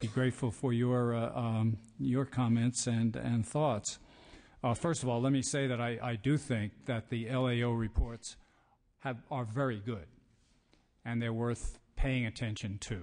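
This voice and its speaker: With a New York accent, a man of medium pitch talks at a fairly slow pace with fairly even intonation. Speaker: higher education policy expert. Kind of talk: testimony.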